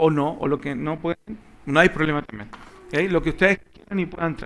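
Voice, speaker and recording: This man's voice sits fairly high in pitch, with ordinary pitch variation. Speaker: Bible class teacher. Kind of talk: Bible class teaching. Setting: church classroom with live audience. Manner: animated. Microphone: microphone switched off, audio problems at start.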